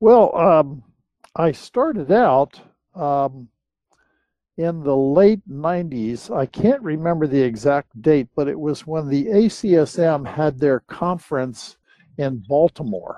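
A man's fairly high, lively voice with an American accent, at a very slow pace, in a dry, close sound with no echo. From US East Coast. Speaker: land surveyor. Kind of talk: interview. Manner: halting.

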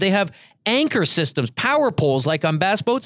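A loud man at a moderate pace in a very clean recording with a silent background. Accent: Canadian. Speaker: podcast host. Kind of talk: casual chat. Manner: jokey, laughs often.

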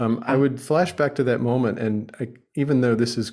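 A plain, everyday voice, a man with an American accent speaks at a moderate pace and medium pitch, with ordinary pitch variation, in a very clean recording against a silent background. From United States. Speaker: journalist and author. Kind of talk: casual interview chat.

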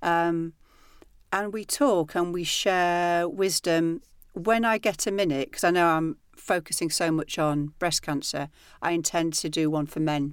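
A woman with a northern English accent at a fairly slow pace, on a very clean recording with a silent background. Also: fairly low pitch for a woman, ordinary pitch variation. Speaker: personal trainer and author. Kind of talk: casual interview chat.

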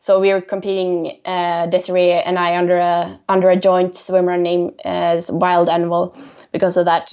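The intonation is monotone and flat. The speaker has a Swedish accent. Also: woman, fairly low pitch for a woman, moderate pace. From Sweden, Stockholm. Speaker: swimrun athlete. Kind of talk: interview.

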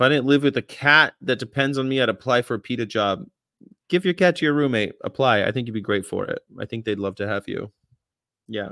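A man with an American accent speaks at a fairly quick pace, his tone bright and sharp. His intonation is lively, and the sound is dry and close with no echo. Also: medium pitch for a man. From California. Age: 40s. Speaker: vegan activist channel host. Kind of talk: casual chat. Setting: video call.

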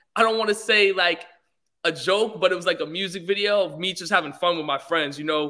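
A high-pitched man with an American accent, bright and sharp in tone, at a fairly quick pace with ordinary pitch variation. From Los Angeles, US (early childhood in London). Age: young. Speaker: musician and entertainer. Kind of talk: interview.

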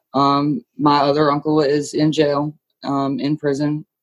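In an American accent, a woman speaks with a very deep, low pitch over a dry, close sound with no echo. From US East Coast, rural small town. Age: 20s. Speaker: guest sharing life story. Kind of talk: personal testimony. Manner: halting, many fillers.

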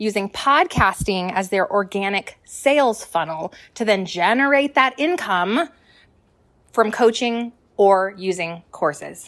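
The sound is dry and close, with no echo. Intonation is lively and the tone energetic and upbeat. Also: woman. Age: 30s. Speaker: business coach and podcaster. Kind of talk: motivational solo podcast. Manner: energetic, upbeat.

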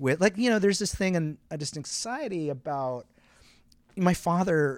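A man with a Canadian accent has an ordinary speaking voice with lively intonation at a moderate pace. The recording is very clean with a silent background. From Quebec, Canada. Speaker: playwright and director. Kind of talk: interview. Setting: theater venue.

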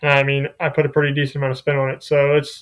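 Here a man with an American accent speaks at a fairly quick pace in a fairly high pitch. It is an ordinary speaking voice on a very clean recording with a silent background. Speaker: college golfer. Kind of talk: podcast interview.

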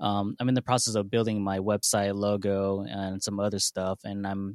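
A man's fairly low voice in an American accent, monotone and flat, at a moderate pace, with a dry, close sound and no echo. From San Diego, California. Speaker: aspiring DJ, voicemail caller. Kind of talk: voicemail message.

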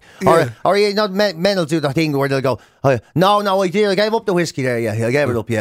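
Over noticeable background noise, a man with an Irish accent talks at a very fast pace in a fairly high voice with very wide pitch swings. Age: 40s. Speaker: radio host. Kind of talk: casual chat.

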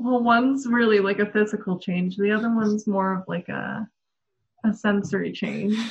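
Somewhat breathy, a woman with an American accent keeps her intonation fairly even. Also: medium pitch for a woman, moderate pace. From Denver, Colorado. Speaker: blogger and marketer. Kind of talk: casual interview chat.

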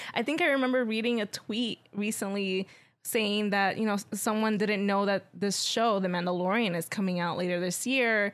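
In an unremarkable speaking voice, a woman of medium pitch talks at a moderate pace with hardly any pauses, very even loudness, and ordinary pitch variation. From New York. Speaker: guest co-host. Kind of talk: casual chat.

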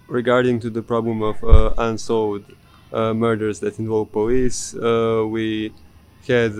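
A man's fairly low voice in a monotone, flat intonation, at a fairly slow pace, over noticeable background noise. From Bosnia and Herzegovina, Bijeljina. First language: Serbian/Bosnian. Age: young. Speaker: exchange student. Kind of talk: casual interview. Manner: halting.

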